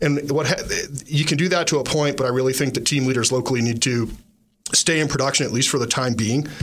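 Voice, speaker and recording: Very fast and at very even loudness, a man with a fairly high pitch speaks amid audible room echo. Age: 40s. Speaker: real estate agent, radio show host. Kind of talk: casual radio chat. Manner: animated.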